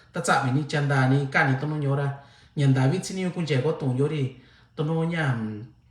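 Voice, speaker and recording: Over audible room echo, a man talks at a moderate pace with a fairly high pitch and fairly even intonation. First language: Mixtec (speaking Spanish). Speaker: lay preacher. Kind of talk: livestream sermon closing. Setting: livestream. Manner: halting.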